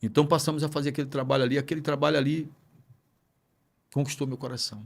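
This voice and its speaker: A man's somewhat breathy, fairly high voice in a flat monotone at a very fast pace, on a very clean recording with a silent background. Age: 60s. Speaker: pastor. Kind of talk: podcast interview.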